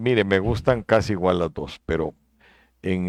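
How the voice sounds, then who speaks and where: Against a quiet background with a dry, close sound and no echo, a man with a very deep, low pitch speaks at a fairly slow pace with ordinary pitch variation. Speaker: vice-presidential candidate. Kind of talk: interview.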